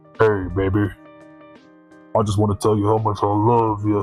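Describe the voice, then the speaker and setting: A man's put-on character voice, fairly low in pitch, with monotone, flat intonation and a moderate pace, over clear music in the background. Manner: smooth, romantic.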